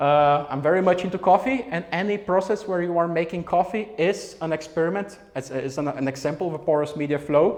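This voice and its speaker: Over noticeable background noise, a man talks at a fairly quick pace with hardly any pauses, his high voice showing ordinary pitch variation. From Brazil. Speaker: physics researcher. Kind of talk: public science talk. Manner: fast; hesitant with fillers.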